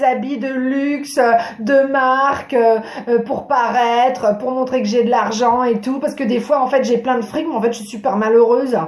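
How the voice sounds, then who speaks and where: An animated tone at a moderate pace, with noticeable background noise and audible room echo. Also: woman. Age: 40s. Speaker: therapist and wellbeing vlogger. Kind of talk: improvised talk to camera.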